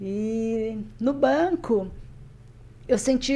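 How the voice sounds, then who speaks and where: The voice is a woman's. Its pitch moves up and down in an ordinary way. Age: 60s. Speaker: retired banker and skydiver. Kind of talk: interview.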